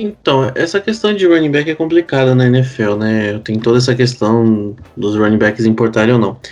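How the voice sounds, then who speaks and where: Music plays in the background as a man speaks at a moderate pace with hardly any pauses. His medium-pitched voice has lively intonation. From Curitiba, Paraná, southern Brazil. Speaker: American football podcast co-host. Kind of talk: casual chat.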